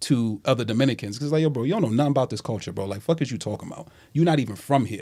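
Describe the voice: On a very clean recording with a silent background, the voice has a slightly mellow tone and ordinary pitch variation. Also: man.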